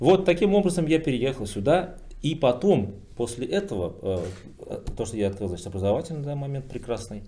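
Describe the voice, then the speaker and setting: A man speaks at a fairly quick pace, somewhat breathy and dark and mellow in tone. His pitch swings very widely. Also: medium pitch for a man. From Bashkortostan, Russia. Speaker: businessman, PR specialist. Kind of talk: roundtable discussion. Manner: hesitant, many filler sounds.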